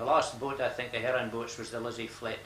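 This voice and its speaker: This man, with a northeast Scottish accent, speaks at a fairly quick pace at medium pitch. His intonation is monotone and flat, and there is noticeable background noise. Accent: north-east Scottish. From Buckie, north-east Scotland. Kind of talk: interview answer.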